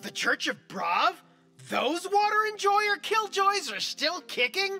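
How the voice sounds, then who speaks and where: The voice has an extremely high pitch and moves at a fairly slow pace. Faint music plays in the background. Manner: casual, wry.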